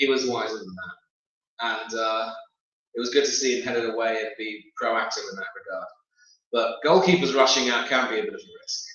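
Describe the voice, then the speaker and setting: In a British accent, a man talks at a fairly quick pace with big swings in loudness and audible room echo. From UK. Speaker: football pundit. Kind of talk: casual chat. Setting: live stream.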